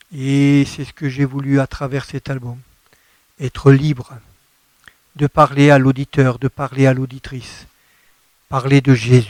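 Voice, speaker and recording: A man speaks at a very slow pace with long, frequent pauses, medium pitch, monotone, flat intonation and big swings in loudness, in a dry, close sound with no echo. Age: 60s. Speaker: gospel singer-songwriter. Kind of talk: radio interview.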